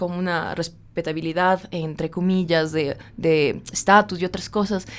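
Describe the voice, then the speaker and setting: A woman's voice at a medium pitch. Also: very clean recording, silent background. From Ecuador, Quito. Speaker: poet and writer. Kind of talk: interview.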